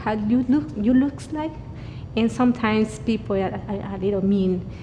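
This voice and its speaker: At a moderate pace, a woman speaks with a fairly high pitch and ordinary pitch variation over noticeable background noise. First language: Spanish. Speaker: church staff member. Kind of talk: personal testimony. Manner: halting.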